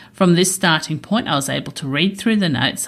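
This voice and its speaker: This woman speaks with an Australian accent at a fairly low pitch. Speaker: accountant and podcast host. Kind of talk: podcast narration; live debate on stage. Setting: stage with audience at a festival.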